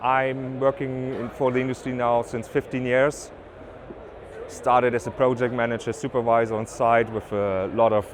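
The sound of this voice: Against noticeable background noise, a man with a German accent talks at a moderate pace, his medium pitch held in fairly even intonation.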